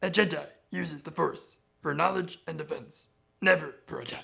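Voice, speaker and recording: A man puts on a guttural character voice at a high pitch, his loudness swinging widely. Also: moderate pace. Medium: tutorial demo.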